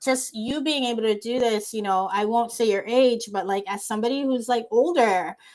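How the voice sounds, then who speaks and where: Using a plain, everyday voice, a woman with an American accent speaks at fairly high pitch and a moderate pace, with ordinary pitch variation and hardly any pauses. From USA. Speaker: podcast host. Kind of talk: casual interview chat.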